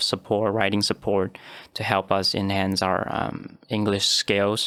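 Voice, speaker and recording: In a Chinese accent, a man of fairly low pitch speaks at a moderate pace in a monotone, flat manner, with a dry, close sound and no echo. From Taiwan. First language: Mandarin Chinese. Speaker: postgraduate student. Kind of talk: podcast interview. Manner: halting, many fillers.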